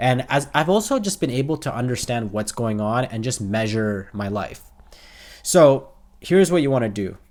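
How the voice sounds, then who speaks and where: A man's medium-pitched voice on a very clean recording with a silent background. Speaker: self-improvement YouTuber. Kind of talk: casual talk to camera. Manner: repetitive, halting.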